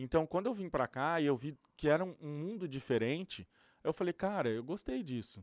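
Here a man speaks in an unremarkable speaking voice at a moderate pace. His recording is very clean, with a silent background. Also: fairly high pitch for a man, lively intonation. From Brazil, interior of São Paulo state. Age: 30s. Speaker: youtuber and influencer. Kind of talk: casual interview chat. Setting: studio.

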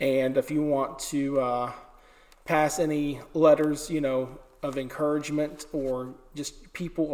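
Noticeable background noise sits behind a man's voice. He speaks at a fairly high pitch with monotone, flat intonation. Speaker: podcast host. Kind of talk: interview. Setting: old church with echo.

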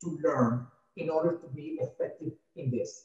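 A man's high-pitched voice moves with ordinary pitch variation. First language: not English. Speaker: podcast host. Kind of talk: interview. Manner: halting.

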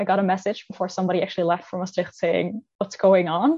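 A woman with a Dutch accent talks at a very fast pace in a medium pitch with fairly even intonation. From Netherlands. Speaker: exchange student. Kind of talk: panel discussion.

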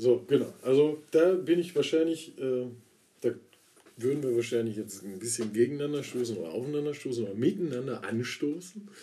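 Fairly quick pace and lively intonation. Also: man, medium pitch for a man. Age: 30s. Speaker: podcast co-host. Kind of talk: casual chat.

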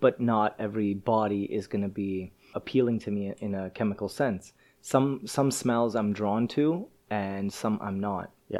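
This man has a normal speaking voice with a fairly low pitch. He talks at a fairly slow pace with fairly even intonation. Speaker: podcast host. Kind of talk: casual interview.

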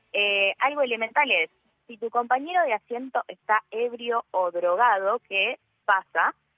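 Her voice plain and everyday, a woman with a fairly high pitch speaks at a fairly slow pace, with big swings in loudness and ordinary pitch variation. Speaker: radio columnist. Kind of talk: radio talk segment.

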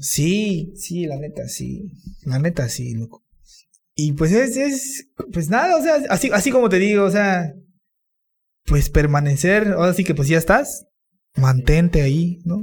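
A man's high-pitched voice with very wide pitch swings, a fairly slow pace, and long, frequent pauses. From Campeche, Mexico (Calkiní). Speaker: musician. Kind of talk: casual chat.

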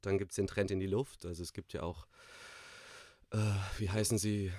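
This man's voice sits very deep and low, with a dark, mellow tone and fairly even intonation. The recording is very clean, with a silent background. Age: 30s. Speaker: coworking space manager and startup juror. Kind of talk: interview. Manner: halting, many fillers.

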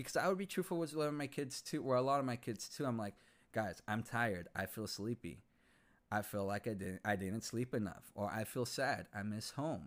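In a very clean recording with a silent background, a man with an American accent uses a normal speaking voice at a medium pitch, with lively intonation and a fairly quick pace. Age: 30s. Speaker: podcast host and English teacher. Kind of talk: casual personal monologue.

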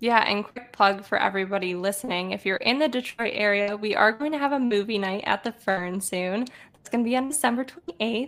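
A woman talks at a fairly quick pace with a fairly high pitch and ordinary pitch variation, with noticeable background noise behind her. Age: 20s. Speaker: podcast host. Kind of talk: casual interview.

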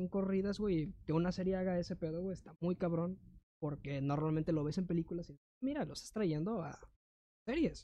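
The speaker has a Mexican accent. The pace is fairly quick. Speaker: podcast co-host. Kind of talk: casual chat. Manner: animated.

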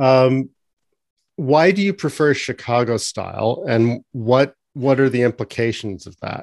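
In a Canadian accent, a man speaks with a plain, everyday voice at medium pitch, ordinary pitch variation and a fairly slow pace, with a quiet background and a dry, close sound with no echo. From Canada. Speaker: podcast host. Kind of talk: interview.

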